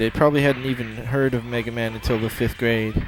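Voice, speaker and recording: A man speaks with an American accent. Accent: American, English accent completely gone. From England, moved to US around age eight. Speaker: gaming video creator. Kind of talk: let's play commentary. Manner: casual with many fillers and repetitions.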